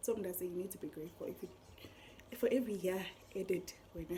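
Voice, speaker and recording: A woman talks very fast at a medium pitch. Noticeable background noise runs underneath. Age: 20s. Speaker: vlogger. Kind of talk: casual vlog talk. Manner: animated.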